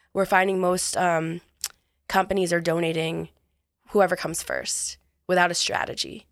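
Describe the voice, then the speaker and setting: A woman with an American accent and a fairly low pitch speaks at a moderate pace in a flat monotone, on a very clean recording with a silent background. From US, New York. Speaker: author and entrepreneur. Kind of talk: interview.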